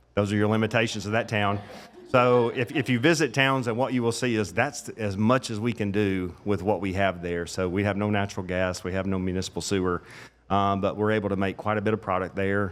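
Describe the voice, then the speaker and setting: A man at a fairly quick pace and fairly low pitch, with a slight Southern US accent. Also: ordinary pitch variation. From Middle Tennessee. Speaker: master distiller. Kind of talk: casual chat. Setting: live event at a restaurant.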